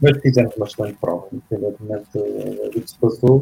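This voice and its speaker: A man speaks at a medium pitch. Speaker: former roller hockey player. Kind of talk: interview. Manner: halting.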